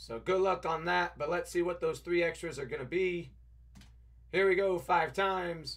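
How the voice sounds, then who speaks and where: A man projects a raised voice at a moderate pace, bright and sharp in tone and high in pitch. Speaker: trading card breaker. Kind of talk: live stream card break commentary. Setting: live stream studio.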